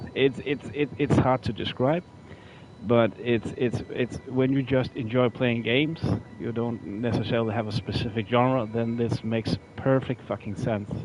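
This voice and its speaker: Against noticeable background noise, someone speaks in a non-native accent with fairly even intonation. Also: man, medium pitch for a man, moderate pace. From Norway. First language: not English. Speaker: gaming streamer. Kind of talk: live gameplay commentary. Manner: halting, frequent repetitions and fillers.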